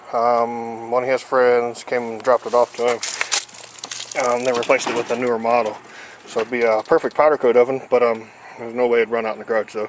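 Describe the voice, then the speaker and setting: Over light background noise, a man speaks at a fairly quick pace in a dry sound with no echo. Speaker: home DIY vlogger. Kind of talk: casual vlog chat. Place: garage. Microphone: phone near.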